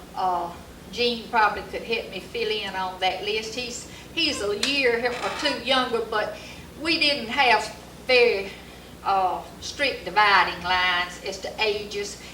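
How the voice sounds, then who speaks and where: This speaker has an Alabama accent and talks at a fairly slow pace with ordinary pitch variation. Audible room echo and noticeable background noise are present. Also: woman. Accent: Southern US (Alabama). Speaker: local resident recalling history. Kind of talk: oral history interview. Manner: halting.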